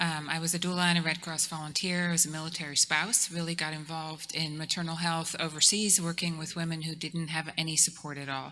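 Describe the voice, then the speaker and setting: Over noticeable background noise, a woman speaks at a moderate pace in a fairly low pitch. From Netherlands. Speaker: nurse midwife and hospital executive. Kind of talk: panel introduction.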